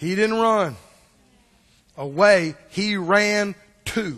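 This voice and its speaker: A man speaks in a high pitch with a Mississippi accent. Audible room echo surrounds his voice. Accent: US Southern (Mississippi). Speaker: pastor. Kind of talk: sermon. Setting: church.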